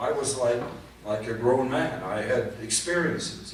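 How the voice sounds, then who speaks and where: A man talks with fairly level intonation at a moderate speed, his voice carrying audible room echo over noticeable background noise. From Poland (now Ukraine). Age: 80s+. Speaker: Holocaust survivor. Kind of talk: testimony with Q&A. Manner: halting.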